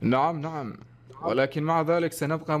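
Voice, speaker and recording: With an Iraqi accent, a man talks at a moderate pace in a monotone, flat intonation. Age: young. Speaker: YouTuber. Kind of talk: casual chat. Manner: formal classical Arabic.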